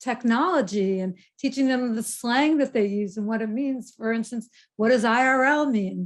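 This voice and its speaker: The speaker keeps a moderate pace with fairly even intonation. The background is quiet. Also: woman. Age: 70s. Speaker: keynote speaker on aging. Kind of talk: keynote talk.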